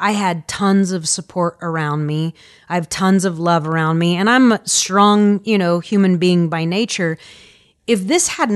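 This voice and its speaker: Against a quiet background and sounding dry and close with no echo, a woman with an American accent speaks in a normal speaking voice at a fairly low pitch, a moderate pace and ordinary pitch variation. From Indianapolis, Indiana. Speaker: school counselor. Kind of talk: interview.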